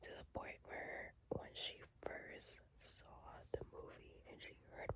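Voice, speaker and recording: Whispering is what this woman does. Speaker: ASMR creator. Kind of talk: ASMR whisper talk ranking songs. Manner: whispered; casual, chatty.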